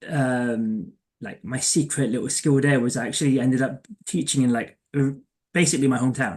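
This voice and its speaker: With a London accent, a man speaks at a fairly quick pace. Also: medium pitch for a man, ordinary pitch variation. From England, East London. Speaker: career coach. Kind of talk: casual interview chat. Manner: halting, many fillers.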